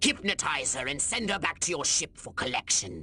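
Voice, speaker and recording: Over clear background noise, the speaker uses a put-on character voice at a low-to-middle pitch. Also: moderate pace. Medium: video game. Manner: pompous, lecturing.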